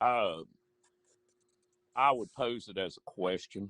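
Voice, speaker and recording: Recorded dry and close with no echo, a man with an American accent talks with ordinary pitch variation. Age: 60s. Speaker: high school football coach. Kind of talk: casual interview chat.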